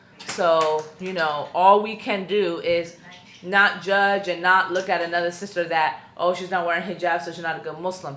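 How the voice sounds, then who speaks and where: Audible room echo surrounds a woman speaking at a moderate pace with a fairly low pitch and fairly even intonation. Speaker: YouTuber / vlogger. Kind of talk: personal vlog testimony. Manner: loud, outspoken; casual with many fillers.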